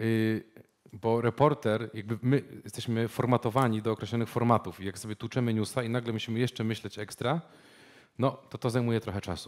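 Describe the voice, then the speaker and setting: Speaking fairly quickly, a man keeps his intonation fairly even while the background stays quiet. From Poland, Poznań; Poland. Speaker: journalist and media startup founder; journalist. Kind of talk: presentation with live interpretation. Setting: stage with audience. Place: meeting room.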